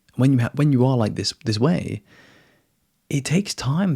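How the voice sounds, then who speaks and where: Dry and close with no echo, a man's dark, mellow, somewhat breathy voice carries lively intonation at a moderate pace. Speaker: spiritual coach. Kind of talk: casual monologue talk. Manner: casual, uses man and dude.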